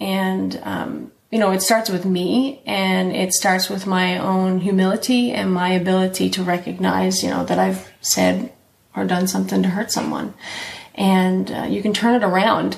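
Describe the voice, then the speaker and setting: A woman talks at a moderate pace in a room with audible echo. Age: 40s. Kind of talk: casual faith conversation.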